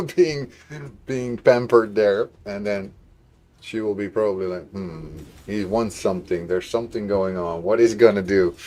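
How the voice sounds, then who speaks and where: With a dark, mellow tone, a man speaks at a moderate pace, his loudness swinging widely. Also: fairly low pitch for a man, ordinary pitch variation. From Netherlands. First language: Dutch. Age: 50s. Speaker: gaming livestreamer. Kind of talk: casual chat. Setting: live stream.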